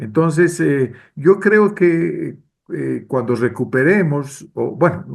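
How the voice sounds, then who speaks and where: A man speaks with lively intonation. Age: 60s. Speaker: political consultant. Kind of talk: interview. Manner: hesitant, frequent fillers.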